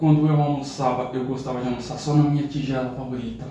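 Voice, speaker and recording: Noticeable background noise and audible room echo fill the recording. Through it, a man speaks at a moderate pace. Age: 30s. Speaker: youtuber. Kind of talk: personal testimony.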